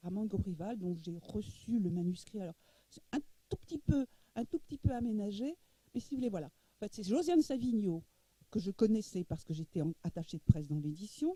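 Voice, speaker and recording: The voice is somewhat breathy with a dark, mellow tone, moving at a fairly quick pace with very wide pitch swings and big swings in loudness. The sound is dry and close, with no echo. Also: woman, medium pitch for a woman. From Egypt, moved to France. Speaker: publisher. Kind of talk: masterclass interview talk. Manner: halting, many repetitions.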